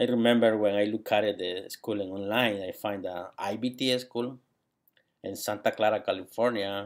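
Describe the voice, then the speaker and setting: A man with a Spanish accent talks at a moderate pace in a fairly low pitch. His intonation is monotone and flat, against a quiet background. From Guatemala. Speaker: graduate student. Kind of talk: personal video monologue; casual vlog chat. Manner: halting. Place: home room. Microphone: webcam.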